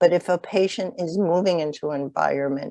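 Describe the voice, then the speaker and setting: With an American accent, the voice has a dark, mellow tone and ordinary pitch variation, recorded with a dry, close sound and no echo. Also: woman. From Chicago. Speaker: nurse case manager, webinar presenter. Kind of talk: webinar lecture. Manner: hesitant, many fillers.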